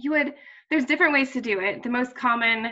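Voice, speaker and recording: A bright, sharp woman's voice over a quiet background. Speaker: presenter. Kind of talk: tutorial. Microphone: video call.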